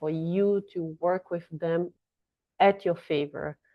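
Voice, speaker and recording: A woman speaks with a Brazilian Portuguese accent at a fairly low pitch. Her delivery is fairly slow, with monotone, flat intonation. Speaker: astrology and tarot reader. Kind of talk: casual astrology forecast monologue. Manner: halting, with fillers and restarts.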